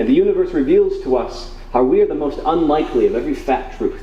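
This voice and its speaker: Moderate-paced speech from a man with an American accent, with audible room echo and noticeable background noise. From Wisconsin, Oshkosh. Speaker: spoken word poet. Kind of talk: poetry reading. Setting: bookstore stage with audience. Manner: loud; halting between poems, fluent while reading.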